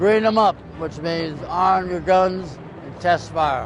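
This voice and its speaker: With an American accent, a man talks against clear background noise. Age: 80s+. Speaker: war veteran. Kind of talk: testimony.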